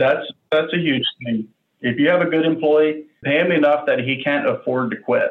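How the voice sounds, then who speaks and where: A man's normal speaking voice with an American accent, fairly high in pitch, with ordinary pitch variation, very even loudness and a moderate pace. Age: 30s. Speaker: machine shop owner. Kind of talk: interview.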